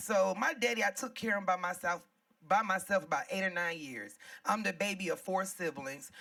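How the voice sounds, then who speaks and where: Loud and animated, a woman speaks at a fairly quick pace in a bright, sharp tone at medium pitch. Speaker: comedian. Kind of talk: stand-up.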